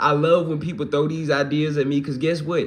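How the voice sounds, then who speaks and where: In a slight Mississippi accent, a man with a fairly high pitch talks at a moderate pace amid audible room echo. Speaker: livestreamer and hip-hop musician. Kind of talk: casual livestream chat reading comments. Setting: live stream. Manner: relaxed, conversational with fillers.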